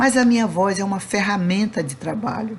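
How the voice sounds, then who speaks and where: Her voice is somewhat breathy, with a medium pitch and ordinary pitch variation. There is audible room echo around this woman. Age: old. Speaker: spiritist lecturer. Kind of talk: lecture. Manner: not soft or sweet, firm.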